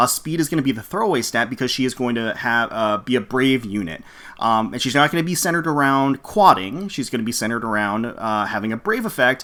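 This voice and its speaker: Loud and animated, a man speaks in a fairly high, bright, sharp voice with very wide pitch swings, captured in a very clean recording with a silent background. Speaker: gaming YouTuber. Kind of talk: live reaction and game review. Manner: fast and loud; animated, frequent fillers.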